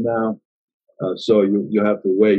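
With an American accent, a man speaks in an unremarkable speaking voice, fairly low in pitch and at a moderate pace. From US. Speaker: podcast host. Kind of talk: interview.

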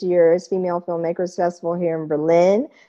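A woman with a medium pitch speaks in a dark, mellow tone. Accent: American. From Kansas, US Midwest. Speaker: podcast host. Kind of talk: interview. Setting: video call.

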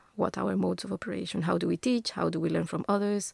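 A woman speaks in a Spanish accent with a dry, close sound that has no echo. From Colombia, Bogota. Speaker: architecture lecturer. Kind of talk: interview. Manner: hesitant, many fillers.

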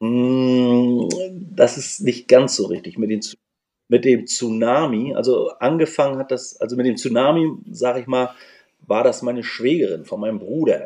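A man talks at a fairly slow pace in a dark, mellow tone. His medium pitch shows ordinary pitch variation. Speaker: nurse and former punk band singer. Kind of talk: casual interview chat.

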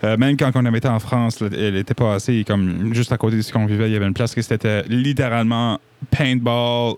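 At a very fast pace, a man of medium pitch talks with fairly even intonation. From New Brunswick, Acadian (Petit-Rocher). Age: 20s. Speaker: singer-songwriter. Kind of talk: casual interview chat. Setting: basement studio.

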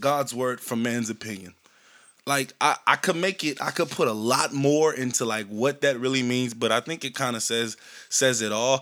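On a very clean recording with a silent background, a man with an American accent talks at a moderate pace and medium pitch with ordinary pitch variation. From US South, Shreveport, Louisiana. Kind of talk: casual faith vlog monologue. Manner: halting, many fillers and restarts.

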